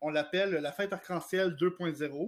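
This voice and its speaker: Talking at a fairly slow pace, a man has a high pitch and fairly even intonation. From Quebec, Gatineau. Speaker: director of an LGBT advocacy organization. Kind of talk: radio interview.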